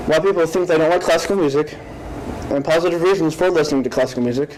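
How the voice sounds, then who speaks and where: A man's fairly high voice at a very fast pace, with very even loudness, fairly even intonation and noticeable background noise. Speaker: student giving a class speech. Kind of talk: informative speech. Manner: halting with some repeated syllables.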